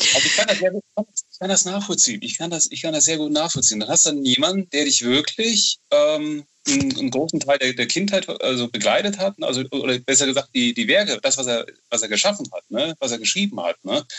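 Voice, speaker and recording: With a fairly high pitch, a man talks at a fairly quick pace with hardly any pauses and very wide pitch swings. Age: 30s. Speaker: horror novel author. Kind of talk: interview. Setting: Skype call. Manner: halting, many fillers.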